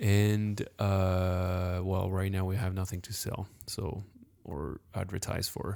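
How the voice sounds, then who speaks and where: On a very clean recording with a silent background, a man with a very deep, low pitch and a dark, mellow tone speaks very slowly in a monotone, flat intonation. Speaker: podcast co-host and meditation teacher. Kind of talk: casual chat. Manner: soft-spoken, quiet.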